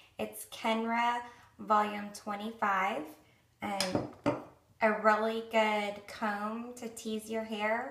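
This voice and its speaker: A woman with an American accent, fairly high pitch, monotone, flat intonation and a very slow pace, amid audible room echo and noticeable background noise. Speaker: beauty vlogger. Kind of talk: tutorial. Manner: casual, chatty with many fillers.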